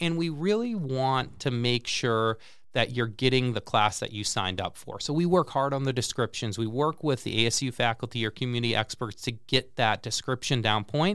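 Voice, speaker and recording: A man at medium pitch with an American accent, moderate pace and hardly any pauses, on a very clean recording with a silent background. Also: ordinary pitch variation. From central Massachusetts. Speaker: lifelong learning program director. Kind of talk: interview. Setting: studio.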